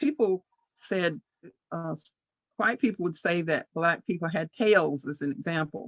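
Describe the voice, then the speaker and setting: A woman's fairly low-pitched voice at a fairly slow pace, with a dry, close sound, no echo and a quiet background. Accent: Appalachian. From far western North Carolina (Andrews, Cherokee County). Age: 70s. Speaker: author. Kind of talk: personal testimony. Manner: halting, with fillers and restarts.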